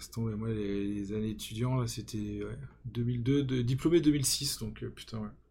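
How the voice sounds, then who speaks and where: A man with an unremarkable speaking voice talks at a fairly slow pace and medium pitch, with ordinary pitch variation and big swings in loudness. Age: 40s. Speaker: podcast host and fantasy football content creator. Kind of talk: casual chat.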